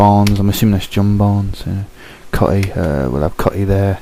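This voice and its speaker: Quiet and with a British accent, a man speaks at a fairly low pitch and a moderate pace, his intonation fairly even, over noticeable background noise. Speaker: gaming video commentator. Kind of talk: gameplay commentary. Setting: at home. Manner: speaking low, quiet; hesitant, many fillers.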